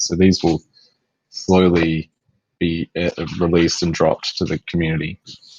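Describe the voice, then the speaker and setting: A moderate pace and flat, monotone intonation in an Australian accent, with a dry, close sound and no echo. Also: man. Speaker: game company executive answering community questions. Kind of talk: live Q&A on voice chat. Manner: hesitant, many fillers and repeats.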